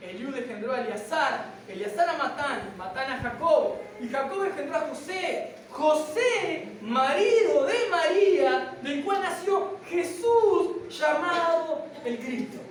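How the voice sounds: In a room with audible echo, a woman speaks slowly at a high pitch with lively intonation and few pauses.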